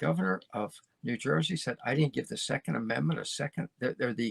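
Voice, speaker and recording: This man's voice carries vocal fry and makes very wide pitch swings. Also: dry, close sound with no echo. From United States. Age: 70s. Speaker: podcast host. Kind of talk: opinion monologue. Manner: animated.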